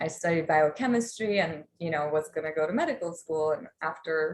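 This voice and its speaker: A woman talks at a moderate pace in a Polish accent. Her pitch is fairly low. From Poland. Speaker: life coach. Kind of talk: online workshop talk. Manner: casual with many fillers.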